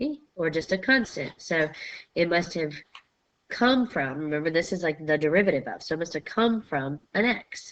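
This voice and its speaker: Speaking at a moderate pace with lively intonation, a woman has an unremarkable speaking voice, fairly low in pitch. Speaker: math teacher. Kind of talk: lecture.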